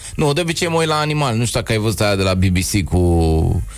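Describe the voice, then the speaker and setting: A man at a fairly low pitch and moderate pace, with very wide pitch swings, amid noticeable background noise. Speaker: comedian. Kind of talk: casual chat.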